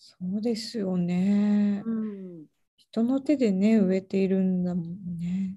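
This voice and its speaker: At a very slow pace, a woman with a dark, mellow tone speaks in a medium pitch, somewhat breathy, with fairly even intonation and big swings in loudness. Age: 30s. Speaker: podcast host, relocation coordinator. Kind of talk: casual interview.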